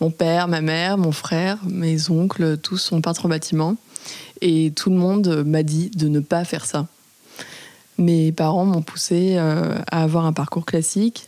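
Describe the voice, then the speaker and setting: Over noticeable background noise, a woman speaks at a fairly slow pace with a fairly low pitch and very even loudness. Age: 20s. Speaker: house painter. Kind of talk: testimony.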